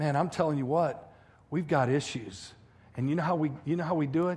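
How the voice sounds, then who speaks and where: Somewhat breathy and animated, a man speaks at a fairly high pitch and fairly quick pace with ordinary pitch variation. Audible room echo surrounds his voice. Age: 50s. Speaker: pastor. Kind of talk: sermon.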